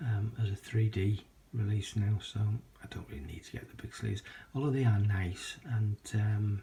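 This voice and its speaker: With a British accent and a fairly low pitch, a man talks at a moderate pace with fairly even intonation and big swings in loudness. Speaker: video collector vlogger. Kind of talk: casual vlog. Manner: hesitant with many fillers.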